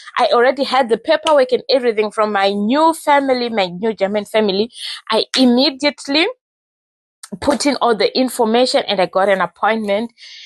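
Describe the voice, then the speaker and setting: A woman talks at a fairly quick pace with high pitch, ordinary pitch variation and very even loudness, in a dry, close sound with no echo. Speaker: vlogger, au pair. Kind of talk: casual storytelling vlog.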